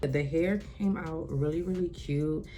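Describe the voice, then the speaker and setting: The room echo is clearly audible. She, a woman, talks at a moderate pace. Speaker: beauty vlogger. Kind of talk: casual vlog chat to camera. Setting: at home by an open window. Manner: loud; animated.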